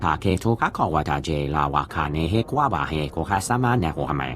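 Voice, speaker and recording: Over clear background noise, a man puts on a character voice, very deep and low, moving at a fairly quick pace. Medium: video game.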